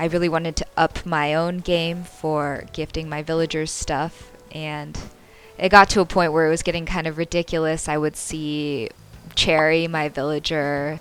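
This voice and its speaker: Over noticeable background noise, a woman with a very deep, low voice speaks at a moderate pace in a monotone, flat intonation. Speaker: gaming YouTuber. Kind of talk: casual talk to camera.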